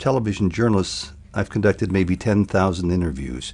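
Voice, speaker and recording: Speaking at a fairly quick pace, a man with a very deep, low voice uses lively intonation and vocal fry. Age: 60s. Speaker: television journalist. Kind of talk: interview.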